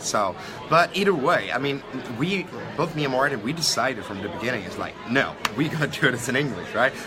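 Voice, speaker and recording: At a fairly quick pace and a medium pitch, a man speaks with lively intonation, with audible room echo and noticeable background noise. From Sweden. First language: Swedish. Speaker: online entrepreneur. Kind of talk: interview. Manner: halting.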